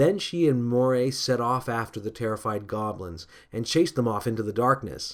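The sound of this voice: An unforced reading voice carries the clip.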